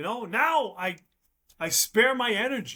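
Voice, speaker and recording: A man's raised, projected voice at an extremely high pitch, bright and sharp in tone, at a very slow pace. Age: 50s. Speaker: guest sharing recovery story. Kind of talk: podcast interview. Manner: repetitive, stammering restarts; casual, animated.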